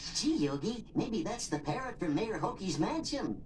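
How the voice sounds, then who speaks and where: A cartoonish character voice at a middle pitch and a moderate pace, with clear background noise. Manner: meek, polite.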